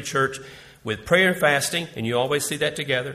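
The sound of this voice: In a room with audible echo, a man speaks at a medium pitch in a bright, sharp tone with ordinary pitch variation.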